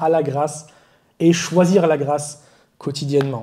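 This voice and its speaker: A man talks very slowly in a fairly high pitch with a dark, mellow tone. Audible room echo surrounds him. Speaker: preacher. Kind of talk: sermon. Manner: halting, self-correcting.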